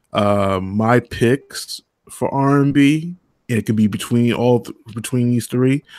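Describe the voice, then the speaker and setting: A man talks at a very slow pace in a medium pitch. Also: ordinary pitch variation, dry, close sound with no echo. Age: 20s. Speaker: podcast host. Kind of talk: casual chat.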